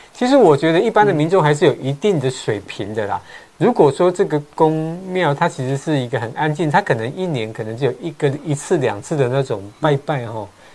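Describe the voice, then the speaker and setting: This man talks at a fairly quick pace with hardly any pauses, in a normal speaking voice. His pitch is fairly high and his intonation lively. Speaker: real estate agent, show host. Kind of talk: casual chat. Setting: livestream.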